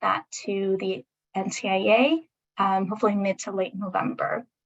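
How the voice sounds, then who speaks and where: Her voice has a bright, sharp tone at a medium pitch. The woman speaks at a fairly slow pace in a dry, close sound with no echo. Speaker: state government meeting facilitator. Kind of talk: online public meeting presentation. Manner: frequent um fillers.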